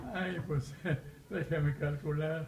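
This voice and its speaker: Here a man speaks very slowly with a fairly high pitch and ordinary pitch variation. The room echo is audible, and there is light background noise. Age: 80s+. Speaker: retired dentist. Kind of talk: interview answer. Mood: relaxed, recalling memories. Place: office. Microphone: webcam.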